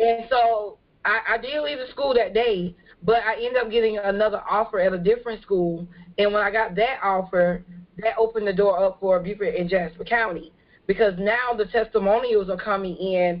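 A woman with an American accent has a normal speaking voice at medium pitch. She keeps a moderate pace and fairly even intonation. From California. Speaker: social worker. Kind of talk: panel discussion. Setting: video call.

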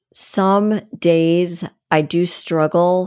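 In a very clean recording with a silent background, a woman with a fairly low pitch and a dark, mellow tone speaks with fairly even intonation. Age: 60s. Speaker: personal trainer. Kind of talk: casual chat.

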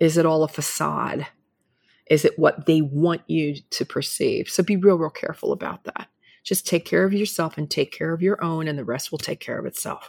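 A woman with an unremarkable speaking voice talks at a moderate pace, fairly low in pitch with ordinary variation. The very clean recording has a silent background and a dry, close sound with no echo. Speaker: media personality, former model, guest. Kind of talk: casual interview.

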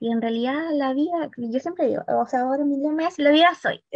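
A woman speaks in a Chilean accent with ordinary pitch variation. The sound is dry and close with no echo, over a quiet background. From southern Chile (Valdivia). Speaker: psychologist and career consultant. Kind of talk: interview.

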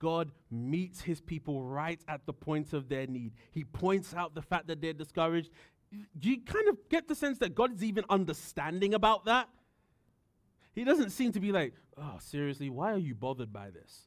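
A man with a British accent speaks in a high pitch. His pitch swings very widely and his loudness rises and falls a lot. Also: moderate pace. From United Kingdom. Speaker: pastor. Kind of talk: sermon.

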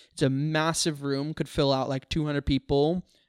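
The recording is very clean with a silent background. The speaker has a Western Canadian accent and a moderate pace. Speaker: filmmaker and comedy venue organizer. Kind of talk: casual chat. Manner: halting.

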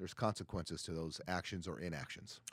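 The speech moves at a fairly quick pace, recorded very cleanly against a silent background with a dry, close sound and no echo. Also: man. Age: 50s. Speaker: podcast co-host, supplement store owner. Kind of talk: casual chat.

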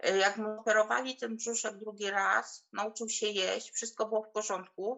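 At a fairly slow pace, a woman with a fairly high pitch delivers her words in a monotone, flat intonation. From Poland, small village. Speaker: mother sharing birth story. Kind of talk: testimony.

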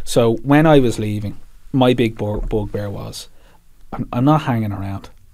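With a Dublin accent, a man speaks at a moderate pace in a dark, mellow tone. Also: medium pitch for a man, ordinary pitch variation. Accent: Dublin Irish. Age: 30s. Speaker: PR agency CEO and army veteran. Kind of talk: interview.

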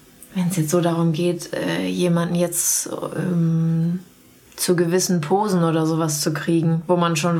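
Monotone and flat in intonation, the voice stays very even in loudness over noticeable background noise. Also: woman. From Sauerland, western Germany. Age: 30s. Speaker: portrait photographer. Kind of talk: casual interview conversation. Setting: at her home.

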